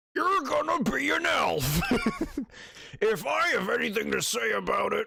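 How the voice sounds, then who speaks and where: A man speaks in a raspy, put-on character voice. His pace is fairly slow. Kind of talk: voice acting. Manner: commanding, stern.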